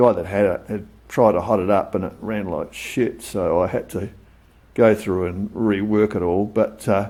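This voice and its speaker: A man with an Australian accent speaks at a moderate pace in a fairly low pitch, his dark, mellow, relaxed tone carried by fairly even intonation. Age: 60s. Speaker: motorcycle hobbyist vlogger. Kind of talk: casual show-and-tell vlog. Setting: home workshop. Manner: relaxed, hesitant with many fillers.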